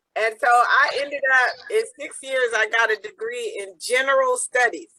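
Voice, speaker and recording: A woman's raised, projected voice, high-pitched with a bright, sharp tone, lively intonation and a fairly slow pace. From US. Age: 60s. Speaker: peace activist. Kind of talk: interview. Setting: video call.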